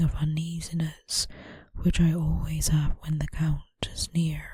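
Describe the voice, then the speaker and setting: A soft-spoken woman talks. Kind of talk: audiobook reading.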